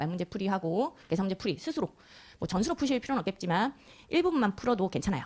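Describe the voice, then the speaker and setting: The voice is somewhat breathy and moves at a very fast pace with very wide pitch swings. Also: woman. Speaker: tax law lecturer, accountant. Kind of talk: lecture.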